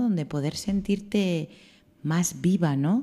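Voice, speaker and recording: The voice is dark and mellow, with lively intonation at a very slow pace. The recording is very clean, the background silent. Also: woman. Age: 20s. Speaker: radio host. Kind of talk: radio interview.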